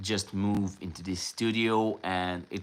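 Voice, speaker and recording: A man's fairly low voice with ordinary pitch variation, on a very clean recording with a silent background. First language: Serbian. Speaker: painter. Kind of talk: casual live stream Q&A chat.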